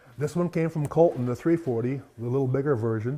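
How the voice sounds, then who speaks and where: Speaking with an Upper Midwest accent, a man goes at a fairly quick pace with a fairly high pitch and ordinary pitch variation. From South Dakota (near Garretson). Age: 70s. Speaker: farmer and collector, retired teacher. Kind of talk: interview, casual storytelling.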